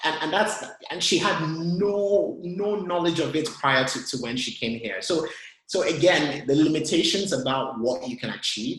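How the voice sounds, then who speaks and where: A man speaks at a moderate pace with a Nigerian accent. His pitch swings very widely. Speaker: tech consultant. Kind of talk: webinar talk and Q&A. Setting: online webinar. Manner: halting, many repetitions and fillers.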